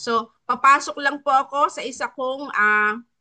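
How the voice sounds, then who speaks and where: This bright, sharp tone has ordinary pitch variation. The background is quiet. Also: woman. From Philippines, Batangas. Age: 50s. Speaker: wellness coach co-host. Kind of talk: testimony. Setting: online live stream. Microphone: laptop.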